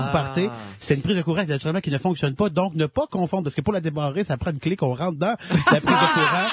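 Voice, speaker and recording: Music plays in the background as a man talks at a very fast pace. He has a fairly high pitch and speaks with a Quebec accent. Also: ordinary pitch variation. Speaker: radio columnist. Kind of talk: radio segment presenting products.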